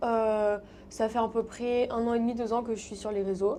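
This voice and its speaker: A woman speaks at a medium pitch and moderate pace, her tone dark and mellow. Her intonation is monotone and flat against a quiet background. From Paris, France. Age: 20s. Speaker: content creator. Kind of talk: interview. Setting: studio. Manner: casual, many fillers.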